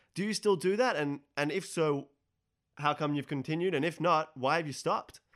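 A man with an Australian accent, fairly high in pitch, with ordinary pitch variation and a moderate pace, in a very clean recording with a silent background. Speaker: radio host. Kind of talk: interview.

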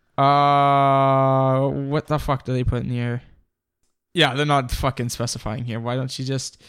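A man with a plain, everyday voice, fairly high-pitched, at a fairly slow pace, on a very clean recording with a silent background. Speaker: podcast co-host. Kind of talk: casual chat.

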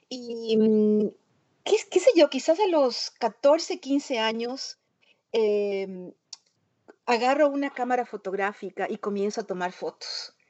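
A woman speaks in a high voice at a very slow pace. Her speech has long, frequent pauses. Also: lively intonation. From Ecuador. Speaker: printmaker and multidisciplinary artist. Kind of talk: interview conversation. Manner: halting, many fillers and repetitions.

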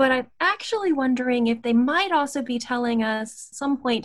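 A woman's high voice in an American accent, at a moderate pace with ordinary pitch variation, over a quiet background. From US South, Appalachia (West Virginia/Virginia border). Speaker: anthropology professor. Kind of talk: interview.

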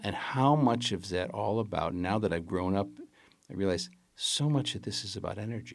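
A man with an American accent talks at a moderate pace in a fairly low pitch with vocal fry. His pitch swings very widely. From Chicago, US. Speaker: film director. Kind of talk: casual interview.

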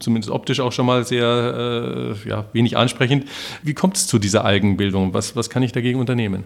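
A man with vocal fry talks at a moderate pace. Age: 50s. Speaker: podcast host. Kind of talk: interview.

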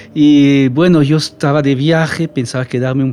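Over noticeable background noise, a man with a French accent speaks at a medium pitch in a monotone, flat intonation. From French-speaking Switzerland. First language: French (speaking Spanish). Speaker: missionary. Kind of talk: casual chat.

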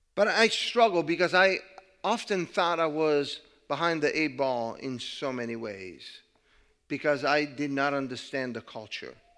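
With an Italian accent, a man talks at a moderate pace. His intonation is lively. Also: fairly high pitch for a man. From Italy. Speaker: pastor. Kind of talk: sermon. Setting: church.

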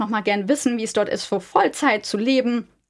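Her fairly high pitch and fairly even intonation come through in a very clean recording with a silent background as this woman speaks. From Germany. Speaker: business ethics researcher. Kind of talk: interview.

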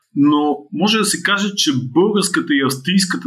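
A man at a moderate pace. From Bulgaria, Blagoevgrad. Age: 50s. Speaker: marketing consultant and author. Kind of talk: interview. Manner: halting, with fillers.

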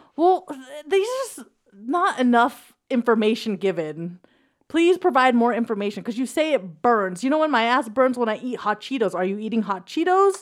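A woman speaks at a moderate pace with a high pitch. Her pitch swings very widely. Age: 30s. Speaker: podcast co-host. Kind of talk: casual banter. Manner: joking, teasing.

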